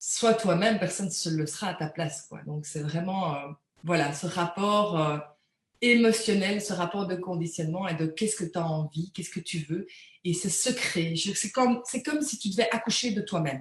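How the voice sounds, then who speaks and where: This woman speaks at a medium pitch and a moderate pace, with ordinary pitch variation. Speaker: energy healing practitioner. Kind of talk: live interview, spiritual talk. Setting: live video interview. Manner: hesitant, many repeated words.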